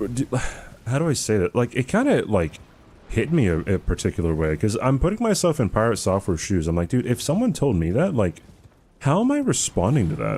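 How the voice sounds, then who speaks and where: The tone is dark and mellow with vocal fry. Pitch swings very widely while loudness stays very even. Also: man. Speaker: gaming streamer. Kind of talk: live stream chat while gaming. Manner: casual, filler-heavy.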